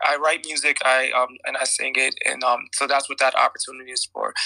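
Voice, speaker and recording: The recording is dry and close with no echo, and the speech moves at a moderate pace. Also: man. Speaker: guest speaker. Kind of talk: casual chat. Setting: audio chat app room. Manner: halting.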